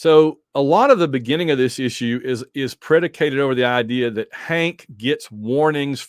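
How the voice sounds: A natural voice for reading, its pitch varying in an ordinary way.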